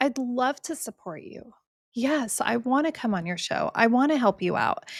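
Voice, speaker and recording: With an American accent, a woman speaks at a high pitch and a moderate pace, animated in tone and lively in intonation. The recording is very clean, with a silent background. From California. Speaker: real estate investor and podcast host. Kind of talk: interview conversation.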